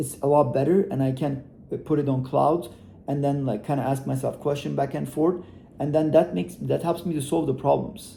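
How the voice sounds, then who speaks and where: A man with a non-native accent talks at a fairly quick pace, his fairly high pitch varying in an ordinary way. His tone is dark and mellow, with vocal fry. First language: not English. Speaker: e-commerce entrepreneur. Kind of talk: motivational talk to camera. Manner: casual, hesitant with fillers.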